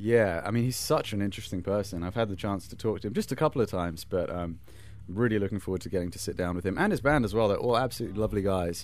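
Talking at a very fast pace, a man has a British accent and a fairly low pitch. His pitch variation is ordinary. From Britain. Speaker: touring metal band musician. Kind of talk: backstage interview. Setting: backstage at a venue.

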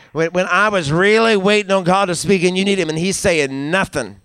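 Animated in tone, a man speaks at a fairly quick pace with a high pitch. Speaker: pastor. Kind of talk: sermon. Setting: church with congregation. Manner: animated, call-and-response preaching; emphatic, repetitive, rhythmic with praise interjections.

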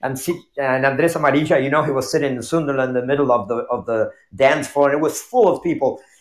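A man with a Spanish accent talks at a very fast pace with hardly any pauses. His pitch sits fairly high. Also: ordinary pitch variation. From Argentina. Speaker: tango dancer. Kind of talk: casual chat. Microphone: earbuds with echo.

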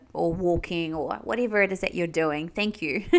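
Bright and sharp in tone, this voice carries a New Zealand accent and ordinary pitch variation on a very clean recording with a silent background. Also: woman. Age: 30s. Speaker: spiritual medium and podcast host. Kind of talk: solo podcast monologue. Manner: laughs often.

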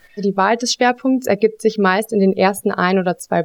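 A woman with fairly high pitch and ordinary pitch variation, an ordinary speaking voice. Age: 20s. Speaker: auditing consultant. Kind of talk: interview, explaining job.

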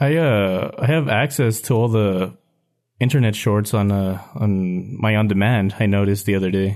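With a normal speaking voice, a man talks at a moderate pace and fairly low pitch, with ordinary pitch variation and very even loudness, against a quiet background. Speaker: podcast host. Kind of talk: casual chat.

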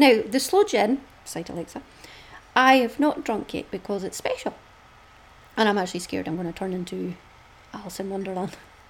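Lively intonation is broken up by long, frequent pauses, and noticeable background noise sits underneath. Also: woman. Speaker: podcast host, crafter. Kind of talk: casual chat, solo podcast monologue. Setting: home, with dog and noisy fan.

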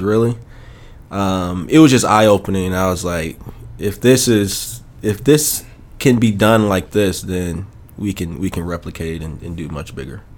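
Talking at a moderate pace, a man with an American accent uses a fairly low pitch and ordinary pitch variation. His loudness swings widely. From Chicago, US Midwest. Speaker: real estate investor. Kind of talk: interview. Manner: hesitant, many fillers.

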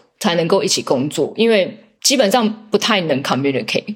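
Here is a plain, everyday voice at a moderate pace. The intonation is lively. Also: woman. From Taiwan. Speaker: biotech commercial director. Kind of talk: interview.

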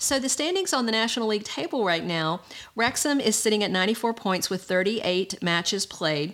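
A woman with a Southern US accent, animated in tone, very wide pitch swings, a fairly quick pace, and very even loudness. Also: fairly high pitch for a woman. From US South. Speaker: podcast host. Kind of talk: solo news commentary.

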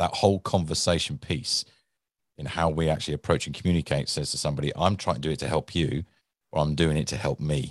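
Vocal fry marks a man's very deep, low voice at a very fast pace. Pitch variation is ordinary, and the sound is dry and close with no echo.

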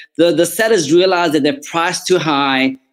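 A man speaks with a South African accent at a high pitch. His pace is fairly quick, and his pitch varies in an ordinary way. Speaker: real estate agent. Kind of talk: interview, casual professional talk. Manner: sincere.

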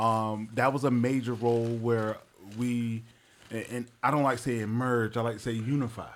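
A man with an American accent talks at a moderate pace, his medium-pitched voice held in a flat monotone. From Wilmington, North Carolina (north side). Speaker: radio host and community mentor. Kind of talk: casual interview conversation.

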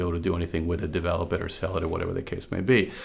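A man speaks at a very fast pace with music playing in the background. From Venezuela. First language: Spanish. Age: 50s. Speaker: consultant and woodworker. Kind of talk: casual interview. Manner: frequent fillers and repetitions.

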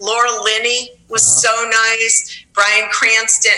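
Noticeable background noise sits behind a woman speaking at a fairly high pitch with an American accent. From New York. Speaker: high school teacher. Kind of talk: interview.

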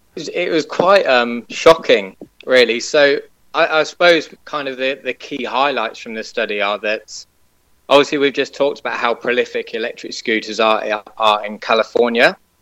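With a British accent, a man talks at a moderate pace in a bright, sharp tone with ordinary pitch variation. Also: medium pitch for a man. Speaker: website owner, scooter expert. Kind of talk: casual interview. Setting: remote call.

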